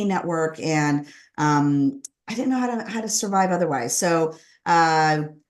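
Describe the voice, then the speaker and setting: In a quiet background, a woman speaks at a fairly low pitch. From Southern California, Los Angeles area. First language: Spanish. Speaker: author and former corporate lawyer. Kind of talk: interview about personal story.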